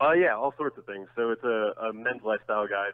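Fairly quick and fairly low, this man talks in an ordinary speaking voice with ordinary pitch variation and an American accent. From New Jersey (Bloomfield). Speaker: food and drinks editor, author. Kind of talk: casual interview.

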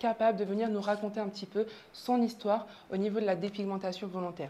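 A woman with a fairly high pitch speaks at a fairly quick pace. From southern France. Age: 20s. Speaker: pharmacist and show host. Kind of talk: show introduction monologue.

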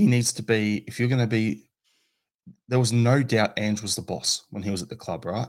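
At a moderate pace, a man with an Australian accent talks in a medium pitch with ordinary pitch variation. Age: 40s. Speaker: football podcaster. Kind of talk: casual chat.

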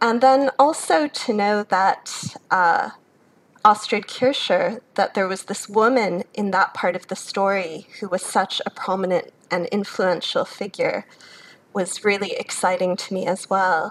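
A woman at a fairly slow pace, medium in pitch, with ordinary pitch variation. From US Midwest, Chicago. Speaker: academic, author. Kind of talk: interview.

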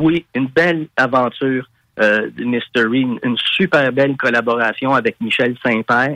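A man with a Quebec accent, medium pitch, a bright, sharp tone, fairly even intonation and a fairly slow pace, in a dry, close sound with no echo. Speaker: rock singer. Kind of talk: interview.

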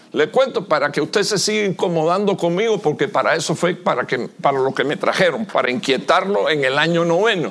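Against noticeable background noise, a high-pitched man talks fairly quickly with lively intonation, very even loudness and hardly any pauses. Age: 60s. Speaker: visiting pastor preaching. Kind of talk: sermon.

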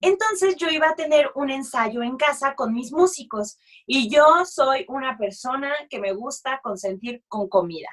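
A woman with a high pitch speaks at a fairly slow pace. Her tone is animated, with very wide pitch swings. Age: 30s. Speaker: musical theatre actress and dog rescuer. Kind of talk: casual chat.

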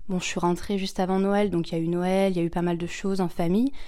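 At a fairly quick pace, the speaker talks in a dark, mellow tone. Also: woman. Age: 20s. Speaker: au pair. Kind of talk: testimony. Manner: hesitant.

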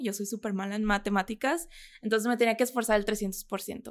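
A woman talks fairly quickly in a normal speaking voice, her pitch fairly high. The recording is very clean with a silent background. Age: 20s. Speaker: model and content creator. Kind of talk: interview.

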